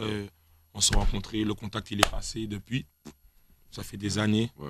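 Dry sound with no echo carries a man with a fairly low pitch, speaking at a fairly quick pace. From Guadeloupe. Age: 20s. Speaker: rapper; guest. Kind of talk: casual interview. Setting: radio studio. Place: studio. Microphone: studio mic.

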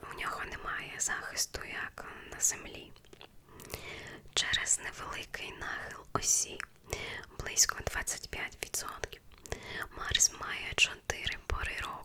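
Whispering in a soothing tone at a very slow pace, a woman leaves long, frequent pauses and makes big swings in loudness, with noticeable background noise behind her. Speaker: ASMR creator. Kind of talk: ASMR whispered facts reading for sleep. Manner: whispered, soft, slow, soothing.

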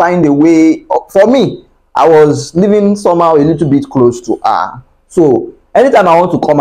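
Against a quiet background, a man with a high voice and a dark, mellow tone speaks at a moderate pace with ordinary pitch variation. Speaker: vlogger giving relationship advice. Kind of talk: casual vlog chat. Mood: earnest, animated storytelling. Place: home room. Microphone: lapel.

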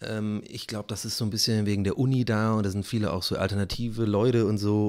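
A man talks at a very fast pace in a fairly low pitch. The background is quiet. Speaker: YouTuber and streamer; YouTuber, streamer. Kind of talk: casual solo vlog monologue. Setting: home studio in living room. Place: home room. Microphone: close to the microphone; studio mic.

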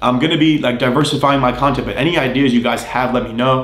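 Very fast, flat, monotone delivery with audible room echo. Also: man. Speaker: fitness content creator. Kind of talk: casual vlog chat. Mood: grateful, earnest. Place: home room.

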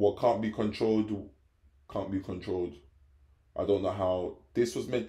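A man with a London accent, fairly low and dark, mellow in tone, somewhat breathy, at a moderate pace with fairly even intonation, in audible room echo over a quiet background. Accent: London English, multicultural London English. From England, London (Hackney). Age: 20s. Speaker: vlogger. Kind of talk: casual vlog monologue. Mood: reflective, philosophical. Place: home room. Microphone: phone near.

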